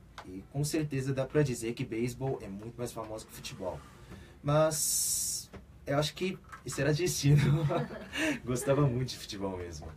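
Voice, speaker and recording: Over noticeable background noise, a man speaks with lively intonation, long and frequent pauses, and big swings in loudness. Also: medium pitch for a man, moderate pace. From South Korea, raised in Brazil from age seven. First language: Korean (speaking Portuguese). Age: 20s. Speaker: football player. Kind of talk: radio interview. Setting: radio studio.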